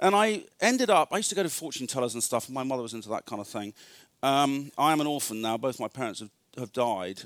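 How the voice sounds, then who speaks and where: With an English accent, a man speaks at a fairly quick pace, his pitch swinging very widely. The recording is very clean and dry, close, with no echo and a silent background. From northern England. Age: 40s. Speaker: retreat speaker. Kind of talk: sermon.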